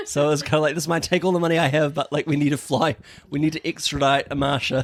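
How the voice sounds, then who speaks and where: Very fast and monotone, a man speaks with a fairly high pitch and flat intonation. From New Zealand, Auckland. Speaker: podcast co-host. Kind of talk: casual chat.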